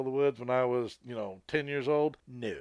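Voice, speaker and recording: In an American accent, a man with an unremarkable speaking voice talks at a moderate pace, medium in pitch and fairly even in intonation. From Colorado. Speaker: podcast co-host, paranormal investigator. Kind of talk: casual chat; reading aloud.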